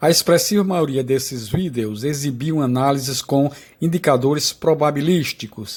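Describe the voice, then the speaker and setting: A man talks at a moderate pace with ordinary pitch variation. His voice is fairly high and somewhat breathy. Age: 70s. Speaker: retired electrical engineer presenting trading setup. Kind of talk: scripted narration. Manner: formal.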